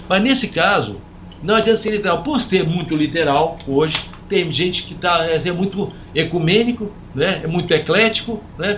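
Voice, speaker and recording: Over noticeable background noise, a man talks in a high pitch with ordinary pitch variation. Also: moderate pace. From Brazil, Minas Gerais (São Lourenço). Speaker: physician and author. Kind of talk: interview conversation. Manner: halting, with many repetitions.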